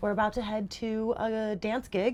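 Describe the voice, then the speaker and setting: The speaker is a woman. Her tone is animated. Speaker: booktuber. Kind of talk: casual chat. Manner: loud. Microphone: phone on other side of bed.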